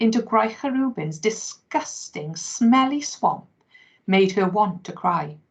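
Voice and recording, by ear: Read aloud in a natural voice with lively intonation, the clip has a quiet background.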